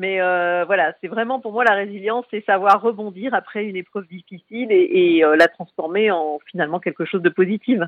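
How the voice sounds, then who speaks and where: Moderate pace and ordinary pitch variation from a woman with a medium pitch. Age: 40s. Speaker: cancer survivor and association founder. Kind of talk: interview. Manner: hesitant, many fillers.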